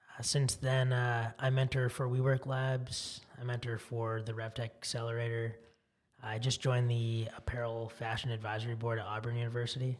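A man with an American accent, somewhat breathy, in a monotone, flat intonation. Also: medium pitch for a man, moderate pace. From US West Coast (Silicon Valley, California). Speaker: tech startup founder. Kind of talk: interview.

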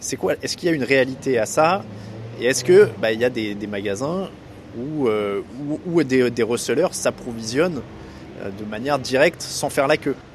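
There is noticeable background noise as a man talks, leaving long, frequent pauses. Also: medium pitch for a man, lively intonation, moderate pace. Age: 30s. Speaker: podcast host. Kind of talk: casual interview.

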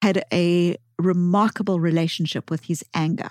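A woman speaks in a South African accent with a fairly low pitch. The sound is dry and close, with no echo. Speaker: psychologist and author.

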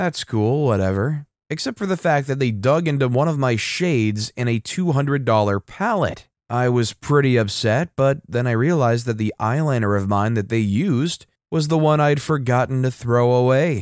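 A man with an ordinary speaking voice talks at a moderate pace and medium pitch, with ordinary pitch variation. His loudness stays very even in a very clean recording with a silent background and a dry, close sound with no echo. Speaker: storytelling channel narrator. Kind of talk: reading aloud Reddit revenge stories with commentary. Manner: conversational asides between stories.

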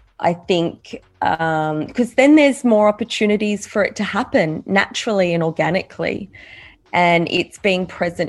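With a plain, everyday voice, a woman speaks at medium pitch and a fairly slow pace, her intonation lively. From Australia. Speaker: podcast guest. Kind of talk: interview.

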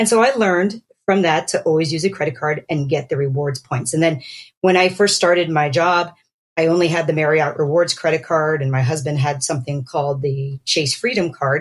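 This woman's very deep, low voice is somewhat breathy and has ordinary pitch variation. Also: fairly quick pace. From Pennsylvania, US. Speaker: dermatologist. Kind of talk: casual chat.

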